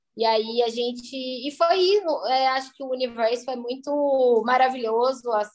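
A woman talks at a moderate pace. Her voice is high, with ordinary pitch variation. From southern Minas Gerais, Brazil. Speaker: food entrepreneur. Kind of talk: interview. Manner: halting.

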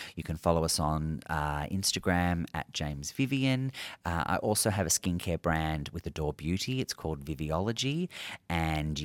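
A man with an Australian accent speaks at a moderate pace in a very deep, low pitch. The recording is very clean with a silent background and a dry, close sound with no echo. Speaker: dermal clinician. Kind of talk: casual interview. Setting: at a conference.

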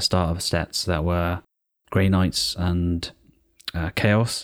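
A man with a British accent and a very deep, low pitch, speaking at a fairly slow pace in a very clean recording with a silent background. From Britain. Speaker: podcast co-host. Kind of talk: casual chat.

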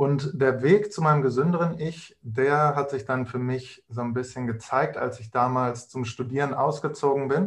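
This man's voice is somewhat breathy and sits at a fairly high pitch. He talks at a moderate pace with ordinary pitch variation. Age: 20s. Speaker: nutrition consultant. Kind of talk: casual interview.

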